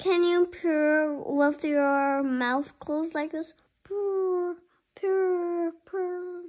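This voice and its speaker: Putting on a character voice, a woman speaks very slowly at an extremely high pitch. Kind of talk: read-aloud storytime with character voices. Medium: read story. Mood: teasing.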